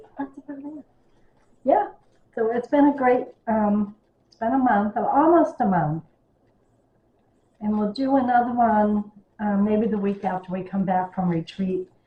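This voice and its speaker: This woman's voice sits at a medium pitch and sounds somewhat breathy. She talks at a moderate pace with lively intonation. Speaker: cross stitch video creator. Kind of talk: casual chat. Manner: animated.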